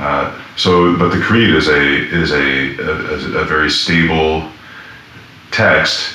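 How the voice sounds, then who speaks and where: A man speaks very slowly in a very deep, low voice, with very even loudness and fairly even intonation over noticeable background noise. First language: French. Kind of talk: interview.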